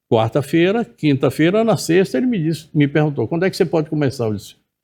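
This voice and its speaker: Fairly high-pitched yet dark and mellow in tone, a man talks at a fairly quick pace with very wide pitch swings. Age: 70s. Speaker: journalist and TV presenter. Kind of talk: interview.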